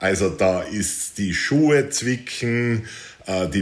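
A man's fairly low voice with lively intonation. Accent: Austrian. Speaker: adventure hiker and author. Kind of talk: interview.

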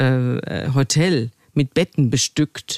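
On a dry, close recording with no echo, a woman with a very deep, low pitch speaks at a very slow pace. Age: 60s. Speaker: journalist and podcaster. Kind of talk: interview.

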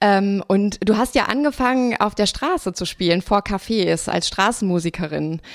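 At a moderate pace, a woman talks in an unremarkable speaking voice. Her pitch is medium, with ordinary pitch variation. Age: 30s. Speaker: writer and critic, podcast host. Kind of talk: literary discussion. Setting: outdoors.

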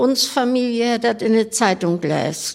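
With a fairly high pitch and ordinary pitch variation, a woman speaks in an unremarkable speaking voice. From Rostock area, Mecklenburg. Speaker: club member. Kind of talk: casual chat.

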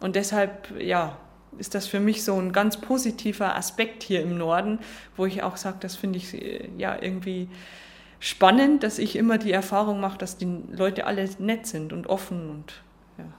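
A woman's voice at a moderate pace with fairly even intonation, long, frequent pauses, and audible room echo. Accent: Lower Bavarian. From Lower Bavaria, Germany. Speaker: football referee. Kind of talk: interview. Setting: stadium box.

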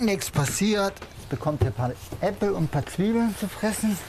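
Over noticeable background noise, a man talks. His high-pitched voice has lively intonation. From Hamburg, northern Germany. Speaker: cook and sheep breeder. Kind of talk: casual documentary talk.

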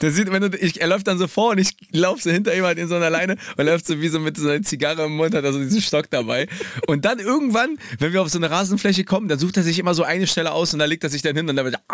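Speaking at a very fast pace, a man has a high pitch. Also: ordinary pitch variation. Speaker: radio host. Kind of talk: casual chat.

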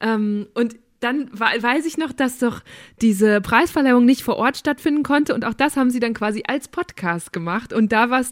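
On a very clean recording with a silent background, a woman speaks at a moderate pace with a high pitch and ordinary pitch variation. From Münsterland, Germany. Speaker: podcast host. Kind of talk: casual chat.

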